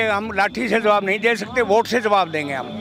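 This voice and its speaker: A man projects his voice loudly at a high pitch with fairly even intonation. Noticeable background noise is present. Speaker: farmer. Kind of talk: street interview.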